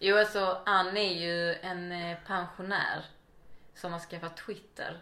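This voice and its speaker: Very slow, flat monotone delivery with big swings in loudness and audible room echo. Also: woman, medium pitch for a woman. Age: 30s. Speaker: podcast guest. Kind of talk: casual interview chat. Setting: at home.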